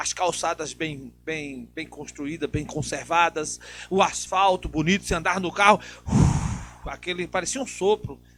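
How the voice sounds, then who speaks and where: A man's voice with music in the background. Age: 60s. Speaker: TV talk show host. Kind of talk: political talk show interview.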